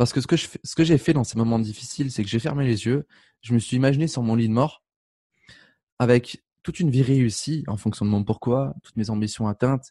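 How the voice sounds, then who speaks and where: Over a quiet background, a man speaks at a fairly quick pace in a medium pitch with ordinary pitch variation and a dark, mellow tone, the sound dry and close with no echo. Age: 20s. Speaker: life coach and speaker. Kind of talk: interview. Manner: casual.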